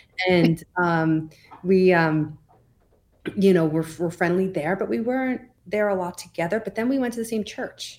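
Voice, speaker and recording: An unremarkable speaking voice belongs to a woman with a medium pitch. She talks at a moderate pace with ordinary pitch variation on a very clean recording with a silent background. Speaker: podcast co-host in recovery. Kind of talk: casual interview.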